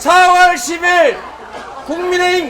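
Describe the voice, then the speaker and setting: Against crowd noise in the background, a man shouts in a raised, projected voice of extremely high pitch, very slowly and with fairly even intonation. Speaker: politician, party leader. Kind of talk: campaign rally speech. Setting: outdoors. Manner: shouting.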